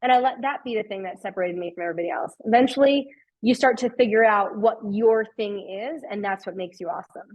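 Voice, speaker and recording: A woman with a strong Long Island accent talks very fast in a fairly high voice, her intonation lively and her loudness swinging widely. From New York, Long Island. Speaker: customer success executive. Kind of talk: webinar talk. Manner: animated.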